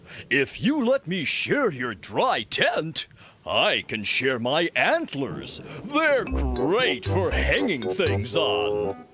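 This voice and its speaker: A man puts on a character voice at a medium pitch, speaking at a very slow pace with music in the background. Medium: read story.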